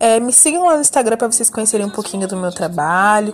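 With noticeable noise behind her, a woman delivers her words at a very fast clip. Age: 20s. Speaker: podcast host. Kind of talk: casual chat.

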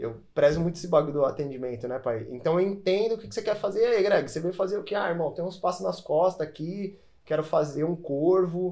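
Speaking at a fairly quick pace with hardly any pauses, a man uses a high pitch, lively intonation and a dark, mellow tone. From São Paulo, Brazil. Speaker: tattoo artist and youtuber. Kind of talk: casual chat. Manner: casual slangy delivery.

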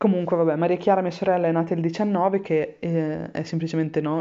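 This woman's voice sits fairly low in pitch. She talks at a fairly quick pace with fairly even intonation. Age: 30s. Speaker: podcaster. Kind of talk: personal audio diary.

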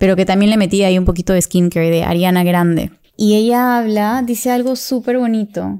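With a dark, mellow tone and fairly even intonation, a woman speaks at a medium pitch. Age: 30s. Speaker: podcast host. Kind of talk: solo monologue.

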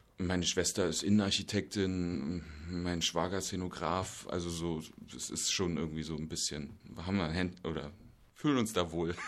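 Audible room echo surrounds a man whose voice is pitched very deep and low. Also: fairly even intonation, moderate pace. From Berlin, Germany. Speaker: stage actor. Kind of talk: casual interview. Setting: theatre make-up room.

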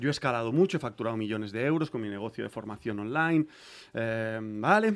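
A man with a plain, everyday voice talks at a medium pitch and a fairly quick pace, with ordinary pitch variation. The recording is very clean, with a silent background. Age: 40s. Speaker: rapper and music producer. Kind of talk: casual interview.

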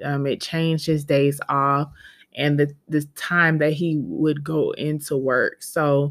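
In a very clean recording with a silent background, a woman with an American accent speaks at a very slow pace and a very deep, low pitch, with fairly even intonation. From US South. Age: 30s. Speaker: podcast host. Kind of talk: casual monologue. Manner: halting.

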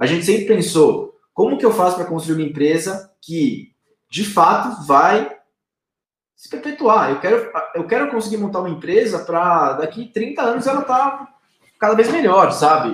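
A man's high-pitched voice makes very wide pitch swings along with big swings in loudness. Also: moderate pace. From Brazil, São Paulo state (Arujá). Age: 30s. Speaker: company co-founder. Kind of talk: interview. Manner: hesitant, many fillers.

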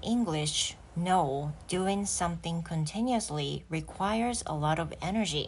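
Her fairly low voice, somewhat breathy, moves at a very slow pace as this woman speaks. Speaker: English teacher. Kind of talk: solo podcast monologue, bilingual. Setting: home living room. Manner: relaxed.

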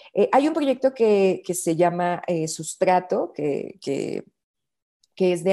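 In a quiet setting, a woman speaks at a fairly slow pace with a medium pitch and a dark, mellow tone. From Mexico, Bajío region. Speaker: bio-artist and researcher. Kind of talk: interview conversation.

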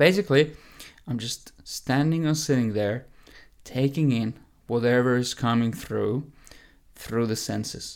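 A man speaks at a medium pitch with ordinary pitch variation and long, frequent pauses. The recording is very clean, with a silent background. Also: fairly slow pace. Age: 20s. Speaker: health and fitness coach. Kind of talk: solo podcast monologue.

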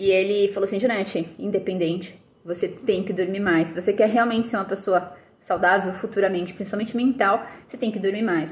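At a fairly quick pace, a woman speaks in a normal speaking voice with fairly even intonation. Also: medium pitch for a woman. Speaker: nutritionist and fitness educator. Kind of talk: casual vlog monologue.

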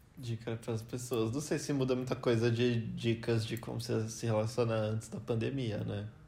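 A man's dark, mellow, somewhat breathy voice at medium pitch, flat and monotone, at a moderate pace with hardly any pauses. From Brazil. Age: 20s. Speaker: biomedical scientist, host's boyfriend. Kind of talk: casual chat.

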